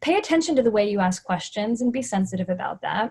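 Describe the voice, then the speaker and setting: Somewhat breathy, fairly high-pitched speech from a woman at a fairly quick pace. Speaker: nurse educator and media contributor. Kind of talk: webinar presentation. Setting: webinar. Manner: fast.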